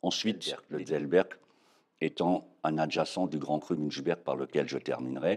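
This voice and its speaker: Very deep and low in pitch, the man talks at a fairly slow pace with fairly even intonation and vocal fry. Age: 60s. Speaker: winegrower. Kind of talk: interview. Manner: hesitant, many fillers.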